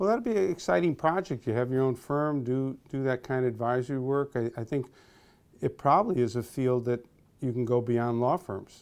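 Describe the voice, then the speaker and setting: A man speaks in an ordinary speaking voice at a medium pitch. His pace is moderate and his pitch variation ordinary, with a quiet background. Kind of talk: casual interview. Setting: office.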